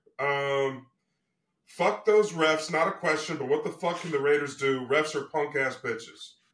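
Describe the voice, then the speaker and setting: A man speaks at a moderate pace in an unremarkable speaking voice. His pitch is fairly high with ordinary pitch variation. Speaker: podcast co-host. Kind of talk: casual sports podcast.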